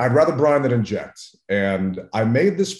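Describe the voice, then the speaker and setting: A man with an American accent talks at a moderate pace with lively intonation. His is a normal speaking voice. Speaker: barbecue and tailgating expert. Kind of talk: casual interview.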